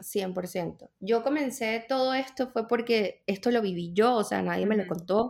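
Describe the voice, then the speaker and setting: In a very clean recording with a silent background, a woman speaks at a fairly slow pace with hardly any pauses and ordinary pitch variation. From Venezuela. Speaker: personal trainer. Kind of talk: interview.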